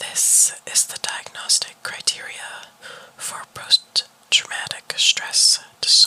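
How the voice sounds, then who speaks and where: Whispering at a very slow pace amid noticeable background noise. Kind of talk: ASMR whisper reading of clinical diagnostic criteria. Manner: whispered.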